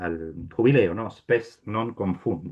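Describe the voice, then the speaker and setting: A man talks at a fairly low pitch and a fairly slow pace, with lively intonation. He has a plain, everyday voice. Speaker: priest giving a talk. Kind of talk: lecture. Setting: video call.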